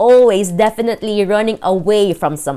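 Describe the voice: This is plain reading aloud. The text is read plainly.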